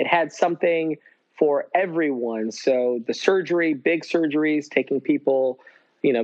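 A man speaks in a normal speaking voice at fairly high pitch. His pace is moderate, and his pitch variation is ordinary. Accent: American. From upstate New York. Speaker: surgeon. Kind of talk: casual interview.

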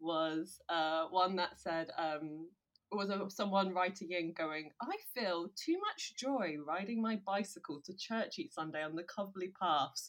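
A woman speaks in an ordinary speaking voice at a medium pitch, with ordinary pitch variation and a fairly slow pace. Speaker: podcast co-host. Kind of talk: casual comedic chat with reading aloud.

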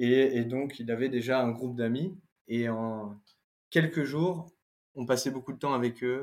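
In a very clean recording with a silent background, a man of medium pitch talks at a fairly slow pace. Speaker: former exchange student. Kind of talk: interview conversation. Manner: hesitant, many fillers.

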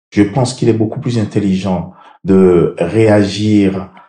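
Very slowly, a man speaks in a fairly low voice with a dark, mellow tone. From Benin (Abomey). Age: 60s. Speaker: mayor. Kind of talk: interview.

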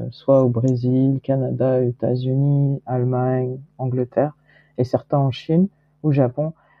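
Speech comes very slowly in a monotone, flat way. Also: woman. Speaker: entrepreneur and investor. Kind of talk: interview.

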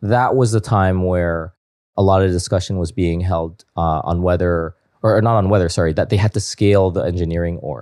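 A man speaks with a Canadian accent and a very deep, low pitch in a dark, mellow tone. The recording is very clean, with a silent background. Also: ordinary pitch variation, moderate pace. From Canada, Toronto. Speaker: tech investor and former software engineer. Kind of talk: casual interview chat.

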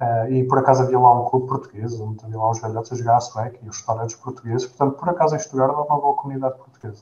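Talking at a very fast pace, a man keeps his medium-pitched voice fairly even in intonation. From Portugal, Gouveia (Guarda district). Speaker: postdoctoral researcher, bioengineer. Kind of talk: interview. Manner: hesitant, repeats words.

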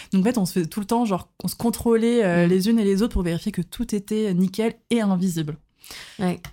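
A woman's medium-pitched voice with a dark, mellow tone, fairly even intonation and a fairly quick pace. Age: 20s. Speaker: podcast guest sharing personal experience. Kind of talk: casual chat. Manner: hesitant, many fillers.

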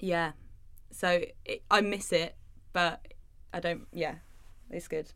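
The speech comes at a very slow pace, with long, frequent pauses and fairly even intonation. The tone is bright and sharp, with an English accent. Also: woman, fairly low pitch for a woman. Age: 20s. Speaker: art teacher and small business owner. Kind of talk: casual chat.

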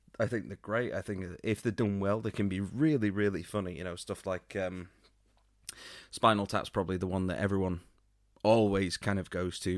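With an unremarkable speaking voice, a man talks at a fairly quick pace and fairly low pitch with fairly even intonation, captured in a very clean recording with a silent background. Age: 40s. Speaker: podcast co-host. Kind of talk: casual chat.

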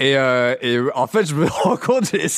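A man's medium-pitched voice with very wide pitch swings, in a dry, close sound with no echo and a very clean recording over a silent background. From rural Lower Normandy, France. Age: 30s. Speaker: comedian. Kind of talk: casual interview.

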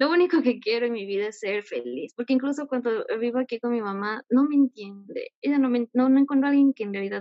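Hardly pausing, a woman talks at a fairly quick pace in a high pitch. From Ecuador. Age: 20s. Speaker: caller seeking advice. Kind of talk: personal confession. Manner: halting.

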